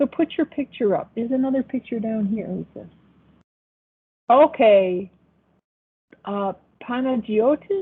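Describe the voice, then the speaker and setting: A woman talks at a fairly slow pace with long, frequent pauses. Her pitch is fairly high. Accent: Buffalo. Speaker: accounting professor. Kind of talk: online class lecture. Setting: video call. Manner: casual, hesitant with fillers.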